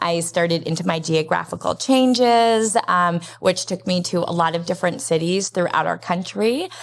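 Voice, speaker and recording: A woman speaks with an American accent. Her pitch varies an ordinary amount. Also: very clean recording, silent background. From US West, Las Vegas. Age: 50s. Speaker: nonprofit program director. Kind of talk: interview.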